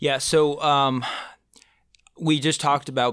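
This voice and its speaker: This man's bright, sharp tone comes at a moderate pace over a very clean recording with a silent background. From Brazil (Manaus). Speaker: youth pastor. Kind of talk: interview. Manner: halting, many fillers and repeats.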